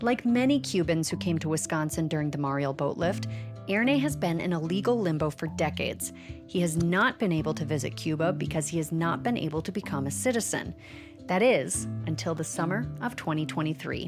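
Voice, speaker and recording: Over music in the background, a woman with a very deep, low voice speaks with very wide pitch swings. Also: fairly quick pace. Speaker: podcast reporter. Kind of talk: documentary narration.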